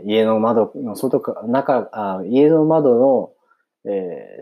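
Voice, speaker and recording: This man's voice sits at a medium pitch with lively intonation. He talks at a very slow pace. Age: 30s. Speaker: podcaster. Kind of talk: casual monologue.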